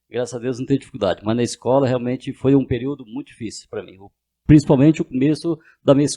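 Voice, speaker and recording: A man's medium-pitched voice at a very fast pace, fairly even in intonation, with a dry, close sound and no echo. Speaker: businessman and deputy mayor. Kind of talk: interview. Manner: halting.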